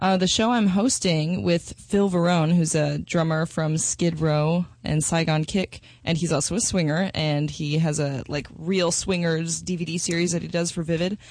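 An unremarkable speaking voice with an American accent keeps a moderate pace, very even loudness and fairly even intonation. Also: woman, fairly low pitch for a woman, hardly any pauses. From Minnesota and Texas, US. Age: 20s. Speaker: adult film performer. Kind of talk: interview.

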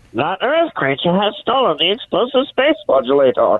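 Put-on character voice, fairly high in pitch, at a moderate pace

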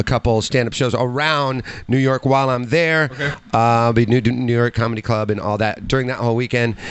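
With an American accent, a man speaks in an ordinary speaking voice at a medium pitch, with fairly even intonation and a fairly quick pace. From Chicago area, US. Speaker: podcast guest and sports fan. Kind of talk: casual banter, joking chat. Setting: livestream with video.

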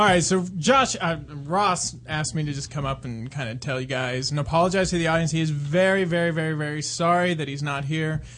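A man's fairly high voice, a normal speaking voice, at a fairly quick pace with hardly any pauses and ordinary pitch variation. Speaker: caller. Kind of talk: casual chat. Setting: phone call.

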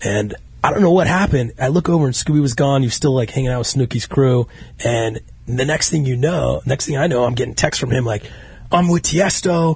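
Over noticeable background noise, a man with an American accent talks at a fairly quick pace in a medium pitch, with ordinary pitch variation. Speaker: podcast host. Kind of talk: casual chat. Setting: studio. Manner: animated.

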